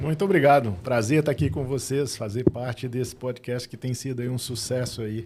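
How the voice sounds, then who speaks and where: With a Minas Gerais accent, a man speaks at a moderate pace and fairly even intonation. He hardly pauses at all. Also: medium pitch for a man. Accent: mineiro. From Minas Gerais, Brazil. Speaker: business consultant and board member. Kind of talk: podcast interview.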